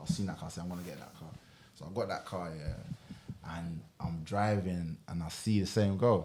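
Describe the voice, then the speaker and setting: A man speaks at a moderate pace in a very deep, low pitch, with a dark, mellow tone. His pitch variation is ordinary, while his loudness swings widely. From Ghana. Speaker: musician. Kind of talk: casual chat.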